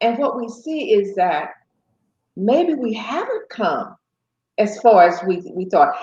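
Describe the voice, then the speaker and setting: Somewhat breathy, a woman with an American accent speaks in a fairly high pitch with very wide pitch swings. Her pace is very slow, broken by long, frequent pauses. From US South, small town in South Carolina. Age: 70s. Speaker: guest, host's mother. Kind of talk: family interview conversation.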